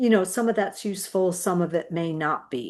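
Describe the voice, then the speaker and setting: Against a quiet background, a woman with a plain, everyday voice talks at a moderate pace and medium pitch with lively intonation. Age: 60s. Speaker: education consultant and community organizer. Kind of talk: casual explainer talk. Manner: conversational, with fillers.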